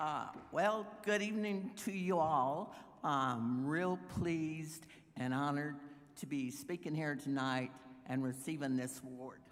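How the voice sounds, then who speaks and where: A woman's very deep, low voice with a Texan accent, at a fairly slow pace with lively intonation and audible room echo. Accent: Texan US Southern. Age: 70s. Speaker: environmental activist. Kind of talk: acceptance speech.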